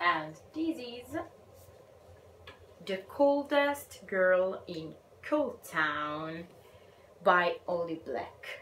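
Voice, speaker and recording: A woman with an Italian accent, very slow pace, long and frequent pauses, and very wide pitch swings. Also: medium pitch for a woman. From Italy. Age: 20s. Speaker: book vlogger. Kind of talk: casual vlog talk.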